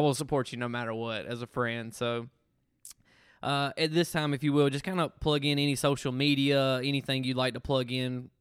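With a Southern US accent, a man of medium pitch talks at a moderate pace with fairly even intonation. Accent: Southern US (Georgia). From Georgia, US South (Thomaston). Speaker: podcast host. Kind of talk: casual chat.

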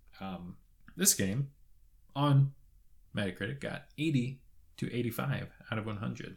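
Speaking in a Canadian accent, a man with a medium pitch and a somewhat breathy voice uses lively intonation at a moderate pace, with long, frequent pauses. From Canada, Toronto. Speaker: video game podcast co-host. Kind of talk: casual chat. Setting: studio.

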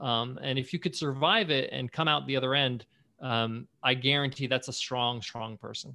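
Bright and sharp in tone, the voice has a New York accent, a moderate pace, and fairly even intonation. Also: man, medium pitch for a man. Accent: New York American. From US, New York. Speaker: entrepreneur and podcast host. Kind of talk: interview.

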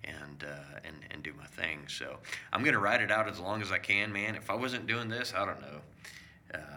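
Amid audible room echo and noticeable background noise, a man with fairly low pitch speaks with lively intonation and big swings in loudness. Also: moderate pace. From South America. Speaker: home inspector. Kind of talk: casual chat.

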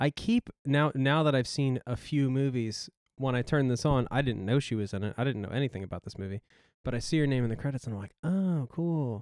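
A man with an unremarkable speaking voice talks at a fairly quick pace, medium in pitch with ordinary pitch variation. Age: 30s. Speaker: podcast co-host. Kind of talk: casual chat.

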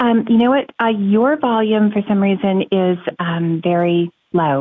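This woman's pitch sits at a medium level, with ordinary variation. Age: 60s. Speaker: retiree calling a finance show. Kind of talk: call-in question. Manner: halting, many fillers.

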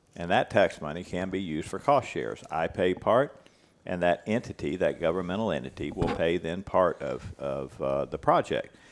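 A man with an American accent speaks at a moderate pace, his very deep, low pitch touched with vocal fry. His intonation is lively, and the recording is very clean with a silent background. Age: 60s. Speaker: cattle rancher and ranch manager. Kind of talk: casual interview conversation.

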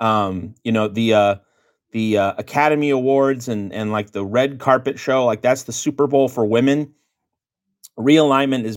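A man speaks in an ordinary speaking voice with an American accent, medium pitch and ordinary pitch variation. His pace is moderate, and the recording is very clean with a silent background. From US West (Phoenix, Seattle). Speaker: college football writer and editor. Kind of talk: casual chat.

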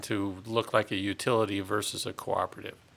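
A man with a normal speaking voice, ordinary pitch variation and a fairly quick pace. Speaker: utility general manager. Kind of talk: casual interview. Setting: studio.

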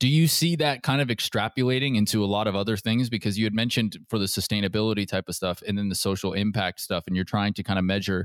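Speaking at a very fast pace with hardly any pauses, a man with an American accent has a fairly low pitch and ordinary pitch variation, on a very clean, silent-background recording with a dry, close sound and no echo. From US Pacific Northwest, Seattle area. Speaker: podcast host. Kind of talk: interview.

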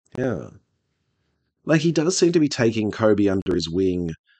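A man with an Australian accent, fairly low pitch and very wide pitch swings, at a moderate pace against a quiet background. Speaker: podcast host, tabletop gamer. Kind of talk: casual chat.

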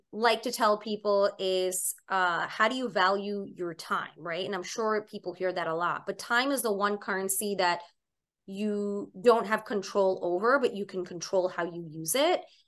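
A woman speaks with an American accent and a normal speaking voice, medium in pitch. Her pace is fairly slow, and the background is quiet. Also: ordinary pitch variation. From New York City (Staten Island). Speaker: chef and cookbook author. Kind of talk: interview conversation. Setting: remote call from her home kitchen.

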